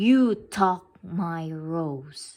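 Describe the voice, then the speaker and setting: A woman puts on a character voice. She pitches it fairly low. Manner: roaring.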